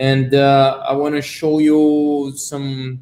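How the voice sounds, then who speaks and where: A man speaks with a Brazilian accent in a fairly high pitch. His intonation is monotone and flat. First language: Portuguese. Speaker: car design sketching teacher. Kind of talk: live stream tutorial chat.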